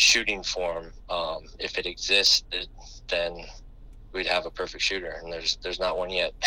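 The speaker is a man talking at a moderate pace. Noticeable background noise runs underneath. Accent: American. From US West Coast, San Diego California. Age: 30s. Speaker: basketball assistant coach. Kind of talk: interview. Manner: halting, many fillers and repeated words.

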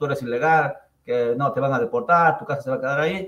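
A man talks in a somewhat breathy voice at a fairly high pitch. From Ecuador, Andean highlands (Chimborazo). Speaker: real estate investor. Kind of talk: interview.

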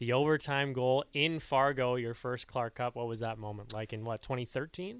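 This is an ordinary speaking voice from a man, medium in pitch and moderate in pace. The recording is very clean with a silent background. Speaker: radio sports host. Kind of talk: casual sports radio chat.

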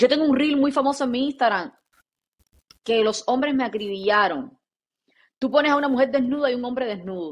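Long, frequent pauses break up a woman's fairly quick, high-pitched speech, which has ordinary pitch variation. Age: 30s. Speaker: podcast co-host. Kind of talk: casual chat. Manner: animated.

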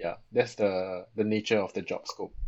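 This man's voice sits fairly low in pitch. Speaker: architectural designer. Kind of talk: casual chat.

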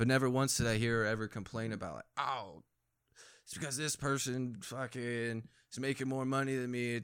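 Recorded very cleanly against a silent background, a man with an American accent and a plain, everyday voice talks at a fairly quick pace and medium pitch with ordinary pitch variation. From Phoenix, Arizona, then North Dakota. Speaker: army veteran. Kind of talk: casual chat.

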